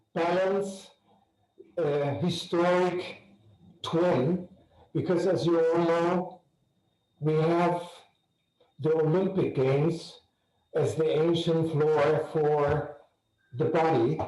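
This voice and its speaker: Speaking very slowly with long, frequent pauses, a man with a high pitch and a dark, mellow tone keeps fairly even intonation and very even loudness amid audible room echo. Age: 70s. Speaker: arts patron. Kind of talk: video call introduction.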